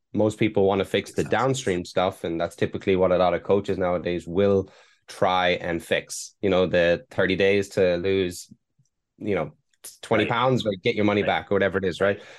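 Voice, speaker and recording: In an Irish accent, a man speaks at a fairly quick pace with a very deep, low pitch and fairly even intonation over a quiet background. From Ireland. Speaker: performance mindset coach. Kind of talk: casual interview chat. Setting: remote interview from Hong Kong.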